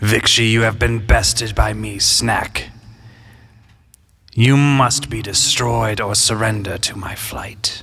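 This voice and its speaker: Using a booming, put-on character voice at medium pitch, a man speaks at a fairly slow pace. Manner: declamatory, threatening.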